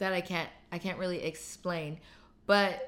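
At a fairly slow pace, a woman speaks in an animated tone. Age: 20s. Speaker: podcast host. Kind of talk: casual monologue.

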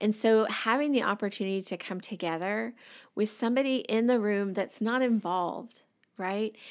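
Over a very clean recording with a silent background, the voice moves at a moderate pace with ordinary pitch variation. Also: woman, fairly high pitch for a woman. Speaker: licensed professional counselor. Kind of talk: podcast interview, advice-giving conversation.

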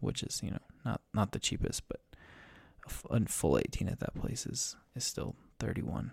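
A man speaks at a moderate pace with a fairly low pitch and vocal fry. His pitch swings very widely. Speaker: podcast host, amateur golfer. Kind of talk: solo monologue podcast. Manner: halting, many repeated words and fillers; meandering.

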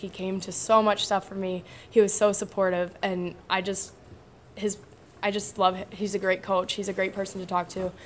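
At a moderate pace, the speaker uses monotone, flat intonation in an American accent. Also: woman. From northern Illinois, US Midwest. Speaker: army reservist combat medic and college softball player. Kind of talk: casual interview.

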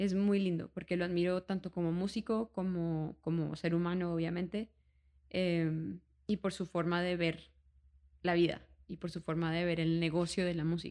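Her dark, mellow, fairly low voice moves at a moderate pace as the woman keeps a monotone, flat intonation. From Colombia, Bogotá and Cartagena. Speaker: singer. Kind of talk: casual chat.

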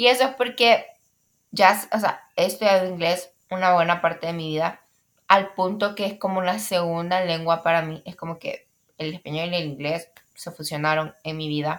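A fairly low-pitched woman at a moderate pace, with ordinary pitch variation and big swings in loudness. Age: young. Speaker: podcaster. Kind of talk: casual monologue. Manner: hesitant, many fillers.

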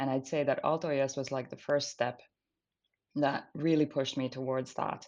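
Over a quiet background, a woman with a Finnish accent and a very deep, low pitch speaks at a moderate pace in a flat monotone. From Finland. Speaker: climate tech startup founder and CEO. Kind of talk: interview. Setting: remote recording.

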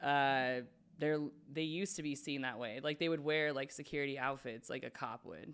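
A woman's very deep, low voice with an American accent and ordinary pitch variation. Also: moderate pace. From Spokane, Washington. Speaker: podcast host. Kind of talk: casual chat. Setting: studio.

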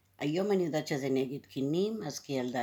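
With a dark, mellow tone, a woman speaks using lively intonation. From India (Cochin), raised in Israel from age 7. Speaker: interviewee sharing childhood memories. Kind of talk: personal testimony.

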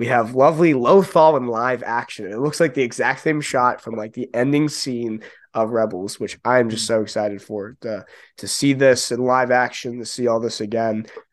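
It's an ordinary speaking voice at a moderate pace, with ordinary pitch variation and a quiet background. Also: man, medium pitch for a man. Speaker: podcast co-host. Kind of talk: casual chat.

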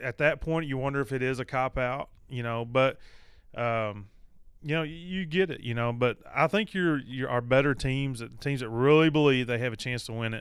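A man's normal speaking voice at a medium pitch, moderate pace and ordinary pitch variation. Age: 30s. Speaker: podcast co-host and high school basketball coach. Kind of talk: casual sports talk.

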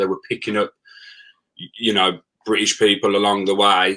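A man with a Birmingham accent, fairly low in pitch, bright and sharp in tone. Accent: Birmingham (Brummie) English. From Birmingham, England. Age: 30s. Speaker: former plumber and travel blogger. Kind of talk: casual interview chat.

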